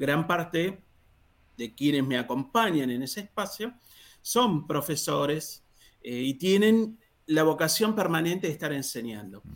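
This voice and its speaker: The speech has a fairly slow pace and lively intonation. It is a plain, everyday voice. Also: man. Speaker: free software user and mentor. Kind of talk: podcast interview.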